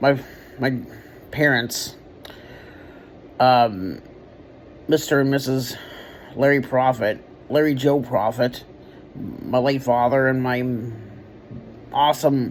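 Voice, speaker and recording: The speech moves at a very slow pace with long, frequent pauses. Intonation stays fairly even over noticeable background noise. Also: man, medium pitch for a man. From Kentucky, Louisville. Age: 30s. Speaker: vlogger, artist. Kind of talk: personal reflection vlog. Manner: halting, many fillers.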